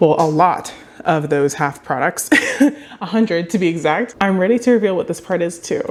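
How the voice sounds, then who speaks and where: Noticeable background noise sits behind a woman of medium pitch whose intonation is lively. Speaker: small business owner and vlogger. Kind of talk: casual vlog talk to camera. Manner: fast.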